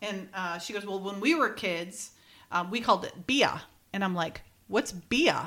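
A woman with a Minnesotan accent talks at a fairly slow pace, leaving long, frequent pauses. Her voice is medium in pitch with a bright, sharp tone. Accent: Minnesota. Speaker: podcast co-host. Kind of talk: casual chat.

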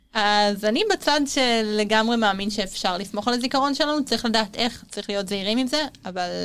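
A woman with an unremarkable speaking voice, fairly high in pitch, fairly quick in pace, with ordinary pitch variation, on a very clean recording with a silent background. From Israel, Tel Aviv. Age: 20s. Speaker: university student. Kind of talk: interview.

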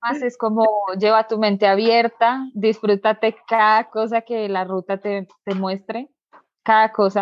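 Her intonation monotone and flat, a woman speaks at a fairly slow pace with a fairly high pitch. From Colombia, Bogotá. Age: 20s. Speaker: motorcycle traveler. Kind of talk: interview.

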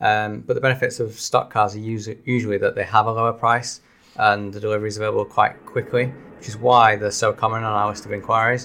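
In a Manchester accent, a man speaks very fast at a medium pitch, his tone bright and sharp and his intonation monotone and flat. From Salford, Greater Manchester. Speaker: car leasing deals presenter. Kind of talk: casual chat.

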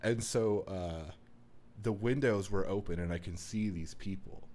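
A man's dark, mellow tone at a fairly slow pace. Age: 20s. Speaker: podcast co-host. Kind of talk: casual chat.

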